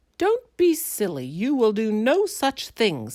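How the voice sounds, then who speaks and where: Someone in a put-on character voice talks at a fairly slow pace with a fairly high pitch, on a very clean recording with a silent background. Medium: read story. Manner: prim, sniffy.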